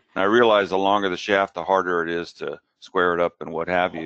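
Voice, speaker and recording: At a fairly quick pace, a man with a plain, everyday voice talks in a fairly low pitch. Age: 60s. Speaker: amateur golfer asking a question. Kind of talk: question to an expert on a live show.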